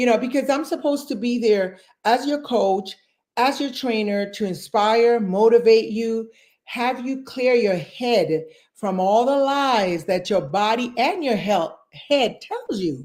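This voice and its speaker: A woman has an ordinary speaking voice with a fairly high pitch and lively intonation. The recording is very clean, with a silent background. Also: fairly slow pace. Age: 60s. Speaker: fitness coach. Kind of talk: interview. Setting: live stream.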